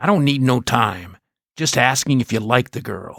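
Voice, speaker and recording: A man puts on a growling character voice with lively intonation at a medium pitch. He speaks at a moderate pace, and the sound is dry and close with no echo. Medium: read story. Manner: gruff, quick-tempered.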